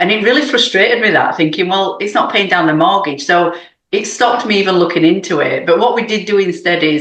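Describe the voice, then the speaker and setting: A woman speaks with a British accent and lively intonation. Audible room echo surrounds her voice. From UK. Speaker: real estate investor. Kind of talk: podcast interview.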